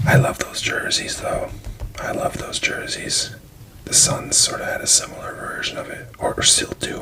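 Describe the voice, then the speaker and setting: A whispering voice moves at a moderate pace over noticeable background noise. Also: man. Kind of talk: whispered ASMR card flipthrough ramble. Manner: whispered.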